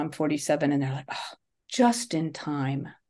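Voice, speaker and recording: Over a quiet background, a woman with an unremarkable speaking voice talks at a fairly quick pace, her intonation lively. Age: 60s. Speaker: English teacher. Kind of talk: casual chat.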